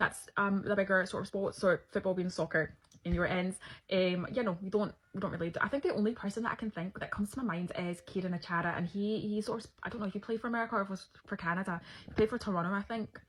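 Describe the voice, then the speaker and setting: A woman speaks at a very fast clip with a medium pitch and a somewhat breathy sound. Her intonation stays fairly even. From Scotland, Nigerian family, partly raised in London. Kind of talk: casual Q&A video.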